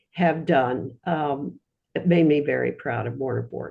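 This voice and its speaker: A woman with a very deep, low pitch and a dark, mellow tone speaks at a moderate pace with vocal fry and ordinary pitch variation. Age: 90s. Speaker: alumna audience member asking a question. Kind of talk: Q&A remarks in online lecture. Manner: halting, with fillers.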